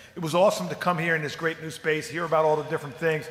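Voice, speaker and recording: Over noticeable background noise, a man speaks in a fairly high pitch. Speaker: public commenter at school board meeting. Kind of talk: public comment speech. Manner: fast; enthusiastic.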